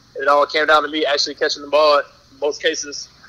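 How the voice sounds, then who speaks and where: Talking at a fairly quick pace, a man has a fairly high pitch and a bright, sharp tone. He speaks with an American accent. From North Carolina, High Point. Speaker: professional football player. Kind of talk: podcast interview.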